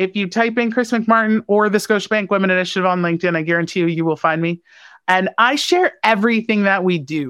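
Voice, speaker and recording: In a dry, close sound with no echo and a quiet background, a woman speaks very fast in a medium pitch with ordinary pitch variation. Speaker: bank small business program leader. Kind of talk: interview. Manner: loud.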